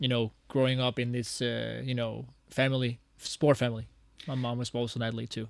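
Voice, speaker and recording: Speaking fairly quickly in a Danish accent, a man holds his medium-pitched voice to a flat monotone. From Denmark, Copenhagen. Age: 30s. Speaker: athlete. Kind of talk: interview. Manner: hesitant, many fillers.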